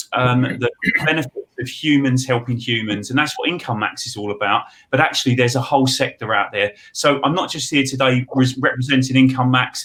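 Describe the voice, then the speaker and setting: A man with an Essex accent speaks fairly quickly in a bright, sharp tone at medium pitch with fairly even intonation. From England, Essex. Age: 40s. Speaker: money advice expert. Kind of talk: webinar panel talk.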